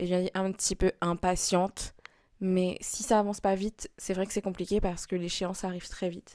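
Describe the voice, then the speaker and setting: Here a woman speaks at medium pitch. Her intonation is monotone and flat. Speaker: vlogger. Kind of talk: vlog monologue. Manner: halting.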